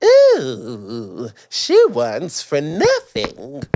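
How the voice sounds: He uses a put-on character voice. His pitch is fairly high.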